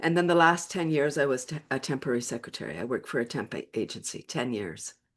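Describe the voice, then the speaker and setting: This woman's voice sits very deep and low, moving at a fairly quick pace with lively intonation. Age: 60s. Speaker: laughter and wellness coach. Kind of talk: interview. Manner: animated.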